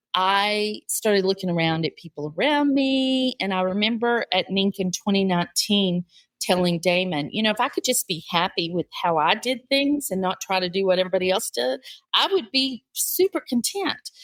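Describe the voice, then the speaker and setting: A woman has a normal speaking voice at medium pitch with lively intonation. She talks at a moderate pace in a dry, close sound with no echo. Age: 60s. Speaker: author and podcast host. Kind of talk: interview. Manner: conversational, with fillers.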